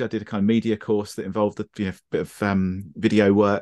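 Against a quiet background, a man speaks in a fairly low pitch with a southern English accent. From southern England, Brighton. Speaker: photographer. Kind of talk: casual chat. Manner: halting.

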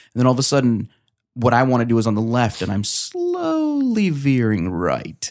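A man talks with a New Jersey accent. His pace is fairly quick. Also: medium pitch for a man, ordinary pitch variation, very clean recording, silent background. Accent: New Jersey American. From New Jersey, US. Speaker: author and comedian. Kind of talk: casual chat. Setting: studio.

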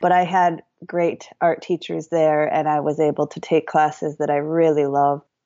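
With an American accent, a woman talks in a very deep, low pitch and a flat, monotone delivery. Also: moderate pace. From US Midwest, Madison, Wisconsin. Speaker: painter and mixed-media artist. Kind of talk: interview conversation. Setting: remote call.

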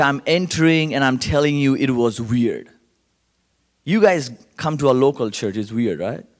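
An animated man with an Indian accent, at a moderate pace. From Calcutta, India. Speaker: guest speaker at church service. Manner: animated, humorous storyteller.

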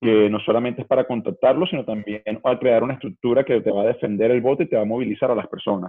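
The words come out very fast with hardly any pauses, and the pitch moves up and down in an ordinary way. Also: man, medium pitch for a man. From Venezuela. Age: 30s. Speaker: political campaign organizer. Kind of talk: interview conversation.

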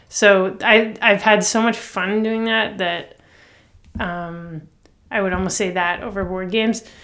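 A woman with a Canadian accent speaks in a plain, everyday voice at medium pitch, going at a fairly slow pace with fairly even intonation. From Toronto, Canada. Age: 30s. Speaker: songwriter. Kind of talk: interview. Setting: at home, remote interview.

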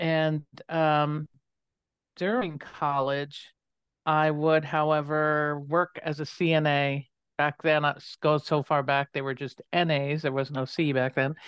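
The speech comes fairly slowly in a flat monotone, with a dry, close sound, no echo and a quiet background. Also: woman, very deep, low pitch for a woman. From US, moved often as child (born North Dakota, raised partly in DC). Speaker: nursing professor. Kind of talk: interview.

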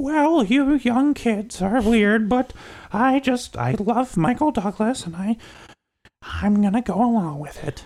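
A put-on character voice with lively intonation, at a fairly slow pace. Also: man, extremely high pitch for a man.

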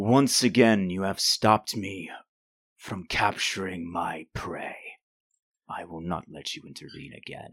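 Putting on a raspy character voice, a man speaks at a very deep, low pitch and fairly slow pace, with ordinary pitch variation and big swings in loudness. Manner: menacing.

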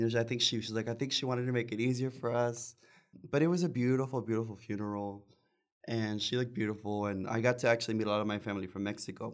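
Very fast speech from a man at medium pitch, with fairly even intonation. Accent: American. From Texas Rio Grande Valley (Palmview, near Mission). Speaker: singer and bandleader. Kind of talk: casual chat.

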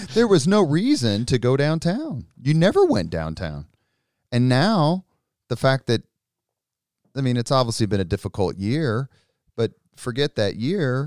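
A man with a Midwestern American accent speaks at a medium pitch and a fairly slow pace, his pitch swinging very widely between long, frequent pauses, in a dry, close recording with no echo, very clean against a silent background. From Indianapolis, Indiana. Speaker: political communications consultant and army veteran. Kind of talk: casual interview.

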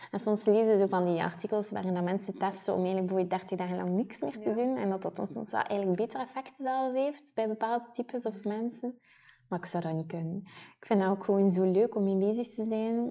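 Speaking at a fairly quick pace, a woman with a Ghent accent uses a medium pitch and ordinary pitch variation. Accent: noticeable Ghent Flemish. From Ghent, Belgium. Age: 20s. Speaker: podcast co-host, beauty PR manager. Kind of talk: casual chat.

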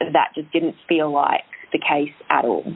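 Her voice sits at a fairly low pitch. The woman speaks with monotone, flat intonation. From UK. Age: 30s. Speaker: fitness business owner and personal trainer. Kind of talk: interview conversation.

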